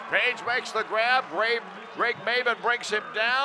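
Against noticeable background noise, a man speaks in a raised, projected voice, high-pitched, at a moderate pace. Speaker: radio play-by-play announcer. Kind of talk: live football play-by-play commentary, call of each snap.

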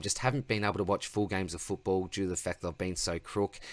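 An unremarkable speaking voice from a man, fairly low in pitch with fairly even intonation, dry with no echo and a quiet background. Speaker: fantasy sports channel host. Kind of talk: casual vlog chat. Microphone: webcam.

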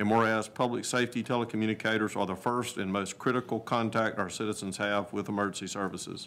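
Speaking at a very fast pace, a man holds a monotone, flat intonation. His pitch is fairly low. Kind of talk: formal proclamation reading. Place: meeting room.

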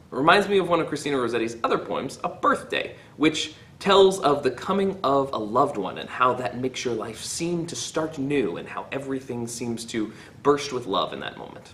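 A man at a moderate pace, with lively intonation and big swings in loudness, over light background noise. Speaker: teacher. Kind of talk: poetry reading then commentary. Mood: warm, cheerful. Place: classroom. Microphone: phone near.

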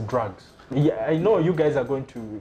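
Noticeable background noise sits behind a man speaking at a moderate pace. His intonation is lively. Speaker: TV talk show host. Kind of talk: TV talk show interviewing. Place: shop. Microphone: lapel.

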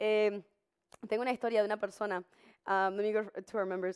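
A woman's medium-pitched voice at a fairly quick pace, quiet background behind her. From Uruguay. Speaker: live TV show host. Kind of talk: live bilingual talk show, advice and reading chat. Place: studio. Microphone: headset.

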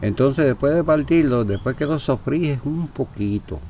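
A man with an unremarkable speaking voice. He talks at a moderate pace with lively intonation. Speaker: war veteran. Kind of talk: casual chat.

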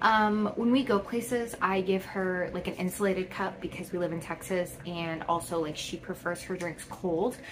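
A woman talks at a moderate pace with lively intonation. Light background noise can be heard. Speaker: haul vlogger. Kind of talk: casual vlog chat. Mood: cheerful and chatty. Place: home room. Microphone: phone near.

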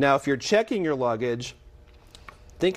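Pitch swings very widely as a man talks at a moderate pace. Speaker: guest. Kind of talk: interview answer. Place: studio. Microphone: lapel.

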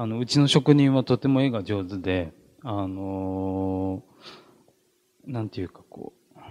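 Speaking at a fairly slow pace with long, frequent pauses, a man talks in a fairly low pitch with ordinary pitch variation. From Japan, Ishikawa; Japan. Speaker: artist. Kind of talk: gallery talk. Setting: gallery with audience. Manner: halting. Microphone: handheld.

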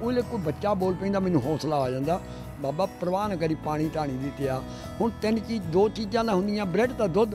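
A man with a high pitch speaks over clear music in the background. The sound is dry with no echo. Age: 80s+. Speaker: marathon runner. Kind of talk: interview answer. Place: street. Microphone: handheld.

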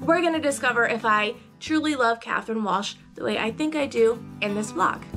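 Speaking fairly quickly, a woman is heard over clear background music. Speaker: book vlogger. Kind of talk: casual talk to camera. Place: home room.

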